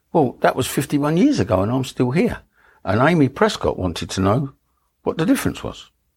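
A man with a medium-pitched voice talks at a fairly quick clip, his pitch swinging very widely and his breath somewhat audible. The recording is very clean, with a silent background. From London, Dagenham (Essex side of east London). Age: 70s. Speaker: Royal Navy nuclear test veteran. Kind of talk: oral history interview, personal testimony. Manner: casual, anecdotal.

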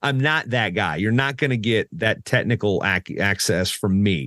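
Here is a man with an American accent and an ordinary speaking voice. His pitch is fairly low, and the background is quiet. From US South, southeastern Virginia. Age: 40s. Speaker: wrestling announcer. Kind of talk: casual interview. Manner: fast, many repetitions and restarts.

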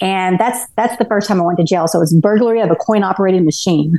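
Here a woman talks in a Texan accent. Her voice sits at a medium pitch. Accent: Texan American. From Texas, Garland near Dallas. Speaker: ultrarunner, recovered addict. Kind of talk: interview, personal life story. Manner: halting, many fillers and restarts.

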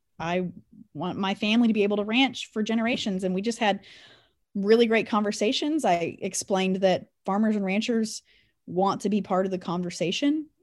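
A woman with a Kansas accent talks at a fairly quick pace, medium in pitch with ordinary variation, in a very clean recording with a silent background. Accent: rural Midwestern US (Kansas). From Kansas, Anderson County. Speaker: rancher and agricultural communications director. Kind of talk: interview. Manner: loud.

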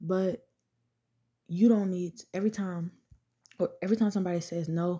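On a very clean recording with a silent background and a dry, close sound with no echo, a woman speaks at a moderate pace in a dark, mellow, somewhat breathy tone. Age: 20s. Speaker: podcast host. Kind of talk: casual monologue. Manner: conversational.

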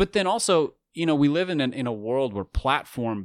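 A man with an American accent speaks in very wide pitch swings, captured as a dry, close sound with no echo in a very clean recording with a silent background. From US, urban area. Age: 30s. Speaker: author and podcaster. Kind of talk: interview conversation.

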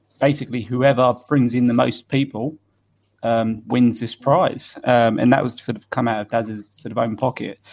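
A man with a British accent speaks at a moderate pace and medium pitch. His intonation stays fairly even while his loudness swings widely. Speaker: beard club board member. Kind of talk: casual chat. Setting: video call.

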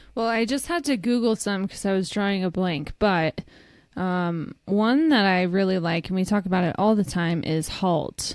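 This woman has an ordinary speaking voice, medium in pitch. Her pace is moderate and her pitch varies in an ordinary way. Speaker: recovery podcast co-host. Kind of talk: casual chat.

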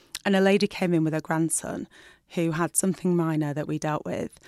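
A woman's fairly low voice in a Lancashire accent, very fast and with fairly even intonation, on a very clean recording with a silent background. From northern England, Burnley (Lancashire). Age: 40s. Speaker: doctor and TV presenter. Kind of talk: casual interview.

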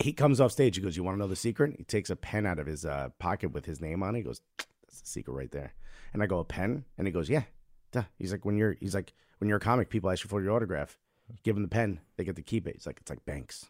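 Very deep and low with vocal fry, a man's voice with an American accent races at a very fast pace, his intonation lively and his loudness swinging in big swings. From Newark, New Jersey. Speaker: comedian. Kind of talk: plug for own show; casual chat.

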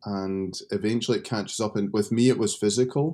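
A man with a Scottish accent speaks at a moderate pace in a fairly low pitch. His tone is dark and mellow, heard in a very clean recording with a silent background. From Scotland. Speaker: seminary professor and pastor. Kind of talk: interview.

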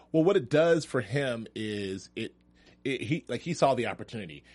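A man's voice shows ordinary pitch variation, set against a quiet background. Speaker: TV after-show host. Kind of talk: casual chat. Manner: joking, chatty.

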